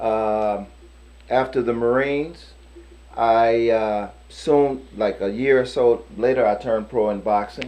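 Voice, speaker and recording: Very slow American-accented male speech with fairly even intonation. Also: medium pitch for a man. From US Midwest, St. Louis, Missouri. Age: 50s. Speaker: boxer and kickboxer, Marine veteran. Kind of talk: casual interview.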